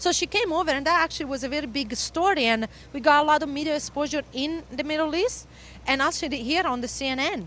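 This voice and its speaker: A woman talks at a very fast pace with a high pitch. Her tone is bright and sharp, with ordinary pitch variation. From Italy. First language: Italian. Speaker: motocross instructor and former pro racer. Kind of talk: interview. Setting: at a race venue. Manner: halting.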